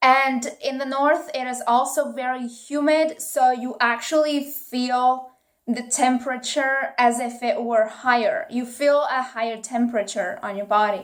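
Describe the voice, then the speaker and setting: A woman with an Italian accent speaks at a high pitch and a fairly slow pace. Her intonation is fairly even, with hardly any pauses. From northeast Italy. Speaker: YouTuber. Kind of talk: casual vlog talk.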